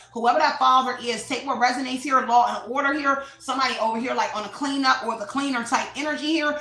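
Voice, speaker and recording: A woman with a high pitch speaks in a raised, projected voice at a very fast pace with fairly even intonation. Noticeable background noise runs beneath her. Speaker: tarot reader. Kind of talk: tarot reading monologue.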